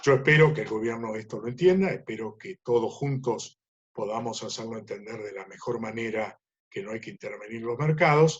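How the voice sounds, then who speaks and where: Somewhat breathy, a man talks at a moderate pace with a medium pitch and ordinary pitch variation. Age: 70s. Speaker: livestock market analyst. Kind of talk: webinar Q&A talk.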